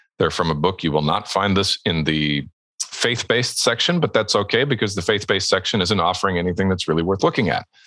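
The voice has a bright, sharp tone and very even loudness. It moves at a very fast pace. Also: man, very deep, low pitch for a man, ordinary pitch variation. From Alberta, Canada. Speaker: ghostwriting agency owner and author. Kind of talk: podcast interview.

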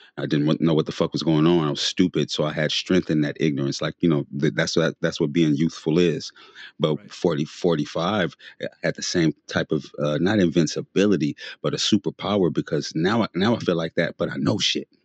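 The voice moves at a moderate pace with ordinary pitch variation, in a dry, close sound with no echo. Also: man, very deep, low pitch for a man. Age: 40s. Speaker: t-shirt designer and podcaster. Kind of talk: casual chat.

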